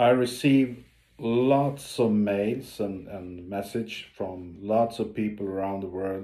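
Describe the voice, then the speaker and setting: Audible room echo surrounds a man who speaks at a very slow pace with a Swedish accent, a fairly low pitch, and ordinary pitch variation. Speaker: ocean explorer and diver. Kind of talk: video update to followers. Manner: halting, many fillers.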